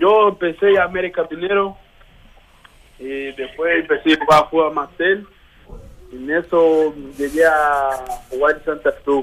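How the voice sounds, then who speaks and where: With long, frequent pauses, a man talks at a fairly high pitch and ordinary pitch variation. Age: 20s. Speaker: footballer. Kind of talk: interview.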